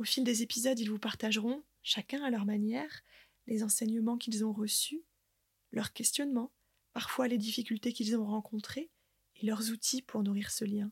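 A woman with a fairly high, somewhat breathy voice speaks at a moderate pace in a calm tone. Her loudness is very even, her intonation fairly even, and the sound dry and close with no echo. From northern France, Côte d'Opale. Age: 30s. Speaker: podcast host and nature guide. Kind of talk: scripted narration.

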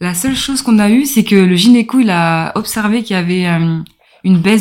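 A woman speaks at a fairly quick pace in a medium pitch with ordinary pitch variation. It is a plain, everyday voice. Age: 30s. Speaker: mother of a child with a rare disease. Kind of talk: interview testimony.

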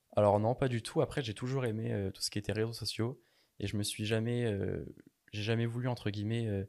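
Fairly quick, monotone, flat speech from a man with a fairly low pitch, on a very clean recording with a silent background. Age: 20s. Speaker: pastry chef and online entrepreneur. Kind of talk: interview. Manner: halting, many repetitions and fillers.

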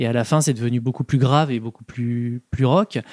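A man speaks at a fairly quick pace in a medium pitch, using a plain, everyday voice. His intonation stays fairly even, and the recording is very clean with a silent background. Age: 30s. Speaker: music fan guest. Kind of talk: casual chat.

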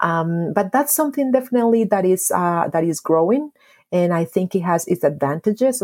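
A woman with a Spanish accent speaks at a moderate pace and medium pitch, her pitch swinging very widely while her loudness stays very even, on a very clean recording with a silent background. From Colombia, Medellin. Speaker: history professor and author. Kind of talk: interview.

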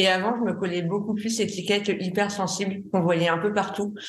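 Over noticeable background noise and audible room echo, a woman speaks at a moderate pace and medium pitch with monotone, flat intonation. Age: 30s. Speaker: graphic designer and art director. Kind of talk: testimony. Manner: halting.

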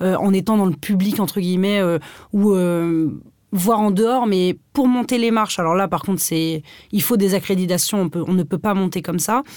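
On a very clean recording with a silent background, a woman speaks in a plain, everyday voice at medium pitch with ordinary pitch variation. Her loudness is very even and her pace moderate. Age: 20s. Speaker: fashion blogger and comedy YouTuber. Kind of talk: casual chat.

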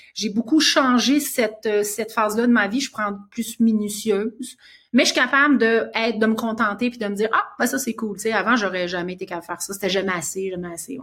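A woman talks at a fairly quick pace with hardly any pauses, in a normal speaking voice. Her pitch is fairly high with ordinary variation, and her loudness swings widely. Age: 50s. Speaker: author and cancer survivor. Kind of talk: interview.

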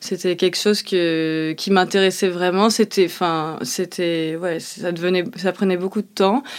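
Hardly pausing at all, a woman speaks at a fairly slow pace and a medium pitch with fairly even intonation. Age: 30s. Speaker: chef. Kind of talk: interview testimony. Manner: hesitant, many fillers.

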